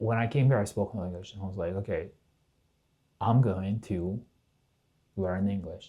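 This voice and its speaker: A man with a slight Russian accent speaks in a fairly low pitch with a dark, mellow tone. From southern Russia, Kalmyk. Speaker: podcast guest. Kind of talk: casual chat. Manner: halting.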